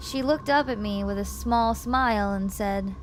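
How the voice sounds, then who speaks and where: This is a woman speaking. Noticeable background noise runs underneath. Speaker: streamer, VTuber. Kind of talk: scary story reading, ASMR.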